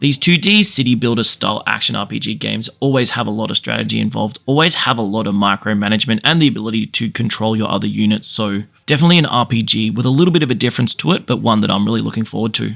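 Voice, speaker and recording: A man talks at a very fast pace with hardly any pauses. His pitch is medium, and there is vocal fry. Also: ordinary pitch variation. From Australia. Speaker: gaming YouTuber. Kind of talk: scripted narration.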